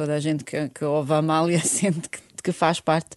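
This woman's voice is very deep and low, with a dark, mellow tone. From Bosnia and Herzegovina, Sarajevo. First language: Bosnian (speaking Portuguese). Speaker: fado singer. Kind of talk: interview.

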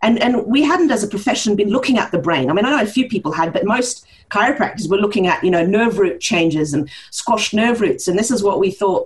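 At a fairly quick pace, a somewhat breathy woman speaks at a medium pitch with very wide pitch swings. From Norway, with New Zealand mother. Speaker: chiropractor and research director. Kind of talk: interview. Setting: remote call from another hemisphere.

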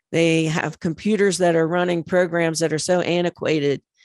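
Against a quiet background, a woman with an ordinary speaking voice talks at a fairly low pitch and a moderate pace. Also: dry, close sound with no echo. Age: 60s. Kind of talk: radio interview.

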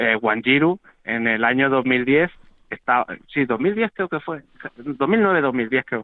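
A man's normal speaking voice at a medium pitch and fairly slow pace. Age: 40s. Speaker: wheelchair marathon athlete. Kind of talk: interview. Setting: phone call.

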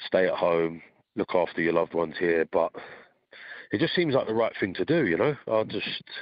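With a British accent, a man speaks at a moderate pace and leaves long, frequent pauses. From Britain. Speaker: gym owner, volunteer fighter. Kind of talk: interview. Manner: halting.

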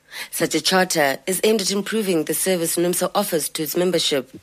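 A woman's fairly low voice at a fairly quick pace, with ordinary pitch variation and noticeable background noise. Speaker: radio reporter. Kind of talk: news report.

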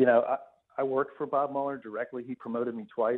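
A man talking at a very fast pace in monotone, flat intonation. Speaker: former FBI agent. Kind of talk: interview.

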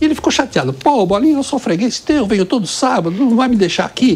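Over noticeable background noise, a man rattles off his words at a very fast pace. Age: 70s. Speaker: restaurant co-owner. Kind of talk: interview.

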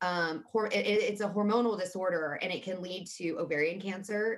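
A woman's ordinary speaking voice, medium in pitch, fairly quick, with fairly even intonation. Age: 30s. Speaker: mental health advocate. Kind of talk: casual interview.

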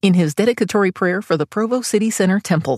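An unremarkable speaking voice carries lively intonation. The recording is very clean and dry, close with no echo, with a silent background. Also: woman. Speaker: podcast narrator. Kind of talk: scripted narration. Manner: formal.

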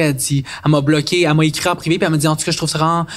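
Speaking very fast, a man has a Quebec accent. His pitch is fairly high and his intonation monotone and flat. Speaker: content creator. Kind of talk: casual chat.

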